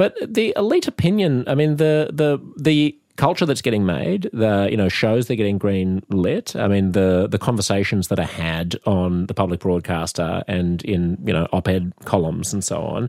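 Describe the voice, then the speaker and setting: A man with an Australian accent, fairly low pitch, lively intonation and hardly any pauses, in a dry, close sound with no echo. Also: moderate pace. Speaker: comedian and radio host. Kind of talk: casual debate.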